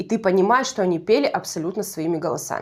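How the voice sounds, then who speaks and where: With a Russian Far East accent, a woman speaks at a moderate pace with lively intonation in a very clean recording with a silent background. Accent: Russian Far East dialect, persistent. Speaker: YouTube TV show reviewer. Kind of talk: casual video commentary. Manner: conversational, self-correcting.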